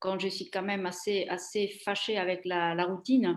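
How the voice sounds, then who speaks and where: A woman with an Italian accent, monotone, flat intonation and a fairly slow pace. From Italy. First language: Italian (speaking French). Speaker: former trade journalist, career changer. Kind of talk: interview. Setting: live stream. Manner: halting, many hesitations.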